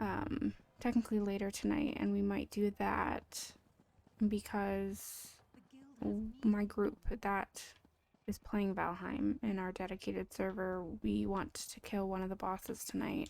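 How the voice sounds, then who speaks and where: Soft-spoken, a woman talks at a fairly slow pace with long, frequent pauses. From Canada. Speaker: game streamer. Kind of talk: casual live-stream chat. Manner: quiet. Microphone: standalone mic with no gain control, too quiet.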